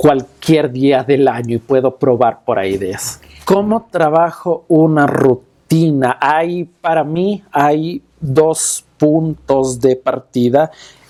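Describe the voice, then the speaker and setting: A man speaks at a very slow pace. His tone is dark and mellow, with ordinary pitch variation. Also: fairly high pitch for a man, hardly any pauses. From Quito, Ecuador. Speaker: magician and stage performer. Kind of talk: interview answer.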